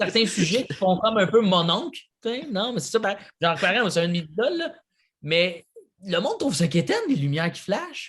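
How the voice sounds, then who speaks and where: Speaking with a Quebec accent, a man with a high pitch uses lively intonation. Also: moderate pace. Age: 30s. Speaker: comedian. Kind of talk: casual chat.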